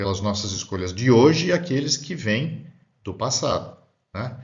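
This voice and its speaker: Somewhat breathy, a man talks at a moderate pace with ordinary pitch variation. Room echo is audible. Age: 60s. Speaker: spiritist lecturer. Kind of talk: lecture. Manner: halting.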